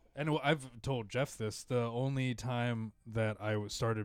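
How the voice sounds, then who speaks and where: A man talks at a fairly slow pace with fairly even intonation and a medium pitch. His is an unremarkable speaking voice. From Filipino-American. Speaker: podcast host and stand-up comedian. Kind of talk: casual chat.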